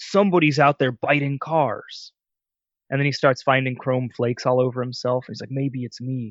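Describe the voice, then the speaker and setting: A man speaks at a moderate pace and medium pitch with fairly even intonation. His loudness swings widely. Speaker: podcast co-host. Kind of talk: casual chat. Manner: quiet. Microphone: mic very close to mouth.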